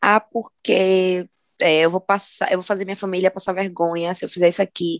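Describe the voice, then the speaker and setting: At a fairly quick pace, a woman with a plain, everyday voice speaks at a medium pitch, her intonation fairly even. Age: 20s. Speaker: podcast co-host. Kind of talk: casual chat.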